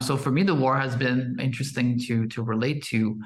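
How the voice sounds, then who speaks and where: A man's somewhat breathy voice at medium pitch, moderate pace and fairly even intonation, with audible room echo. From Quebec, Canada. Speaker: podcast host. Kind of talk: podcast conversation.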